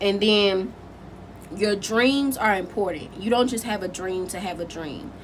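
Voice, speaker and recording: Medium-pitched woman's voice against noticeable background noise. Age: 20s. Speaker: spiritual content creator. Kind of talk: casual talk to camera.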